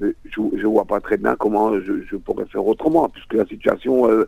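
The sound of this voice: A man with a fairly low pitch and a dark, mellow tone talks at a fairly quick pace. His intonation is fairly even, with vocal fry.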